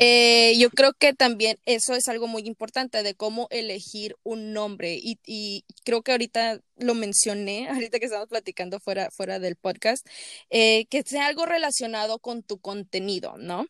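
A woman with a Mexican accent speaks at a fairly high pitch and a moderate pace with hardly any pauses, her bright, sharp tone showing ordinary pitch variation in a dry, close sound with no echo on a very clean recording with a silent background. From Mexico. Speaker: podcast host. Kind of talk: casual chat. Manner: animated.

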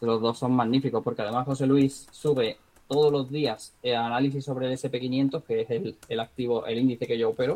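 A man speaks at medium pitch in a normal speaking voice. His pace is moderate and his intonation fairly even. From Spain, Marbella (Málaga, Andalusia). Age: 30s. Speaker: trader and entrepreneur, former guitarist. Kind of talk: casual interview.

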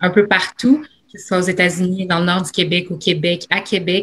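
Fairly even intonation marks a woman's somewhat breathy speech. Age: young. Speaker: university student, panelist. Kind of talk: panel discussion.

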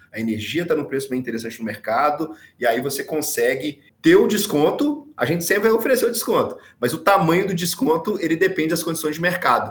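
With very wide pitch swings, a man speaks at a very fast pace in a high pitch. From Brazil, Minas Gerais. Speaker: energy company sales director. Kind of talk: podcast interview.

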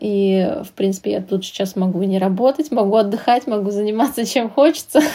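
This woman's voice has a dark, mellow tone with ordinary pitch variation. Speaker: translator. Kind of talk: casual interview chat.

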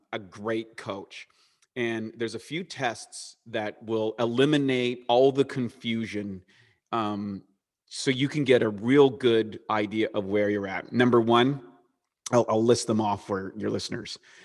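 Recorded very cleanly against a silent background, a man talks at a fairly slow pace in a medium pitch with ordinary pitch variation. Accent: slight Canadian. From eastern Canada. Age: 40s. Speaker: supplement company co-founder and bodybuilder. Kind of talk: interview.

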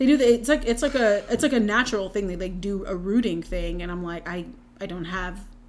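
A woman speaks in a plain, everyday voice with an American accent. Her pitch is medium and her loudness swings widely. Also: lively intonation. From North Carolina. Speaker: podcast host. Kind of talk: casual chat.

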